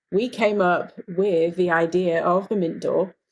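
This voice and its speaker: The speaker is a woman with an English accent. Her pitch sits in the medium range. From England. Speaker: dentist and life coach. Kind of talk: podcast interview.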